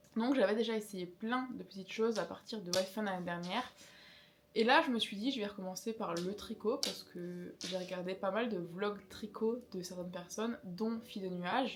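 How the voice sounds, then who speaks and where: A woman speaks at a moderate pace with a medium pitch and ordinary pitch variation, over noticeable background noise. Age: 20s. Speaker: craft YouTuber. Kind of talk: casual chat. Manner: conversational.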